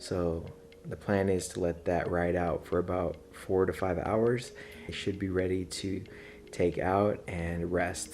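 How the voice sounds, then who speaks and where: Quietly and at a fairly slow pace, a man speaks in a very deep, low voice with fairly even intonation. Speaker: barbecue video creator. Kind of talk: tutorial vlog. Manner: hushed at night.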